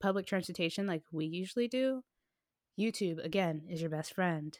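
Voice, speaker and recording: A woman with an unremarkable speaking voice talks at a moderate pace, her pitch medium with ordinary variation, on a very clean recording with a silent background. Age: 20s. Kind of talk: casual chat.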